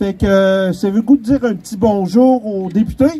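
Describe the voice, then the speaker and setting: A man speaks loudly in a Quebec accent. His pitch is high and his pace moderate. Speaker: community group spokesperson. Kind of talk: rally speech. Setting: outdoor rally with crowd and PA.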